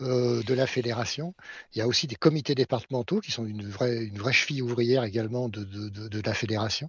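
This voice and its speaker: At a fairly quick pace, a man speaks at a medium pitch, somewhat breathy, with ordinary pitch variation. His loudness swings a lot. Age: 60s. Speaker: sport shooting official and engineer. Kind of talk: podcast interview.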